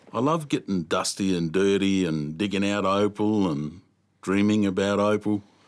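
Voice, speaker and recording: At a moderate pace, a man with an Australian accent speaks in a fairly low pitch with ordinary pitch variation, on a very clean recording with a silent background. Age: 60s. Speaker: veteran opal miner. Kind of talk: documentary interview.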